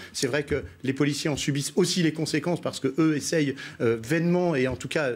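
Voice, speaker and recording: At a fairly quick pace, a man speaks in a fairly high pitch with ordinary pitch variation. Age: 60s. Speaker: local politician. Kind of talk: TV news debate. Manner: halting, many repetitions.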